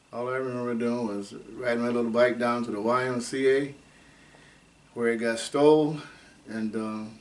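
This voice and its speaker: Room echo is audible around the speech. Its intonation stays monotone and flat. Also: man, long, frequent pauses. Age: 80s+. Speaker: oral history interviewee, retired factory engineer. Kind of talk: oral history interview. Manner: halting.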